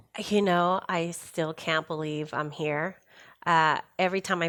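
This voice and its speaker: Speaking with a Spanish accent, a woman keeps a fairly low pitch and a monotone, flat intonation at a fairly slow pace. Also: very clean recording, silent background. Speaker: workplace safety professional. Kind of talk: podcast interview.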